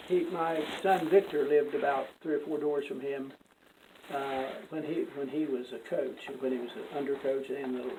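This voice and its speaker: Against noticeable background noise, someone with an American accent talks at a moderate pace with fairly even intonation. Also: man, fairly high pitch for a man. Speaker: retired judge and law teacher. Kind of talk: casual chat. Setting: in person, law school. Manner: halting.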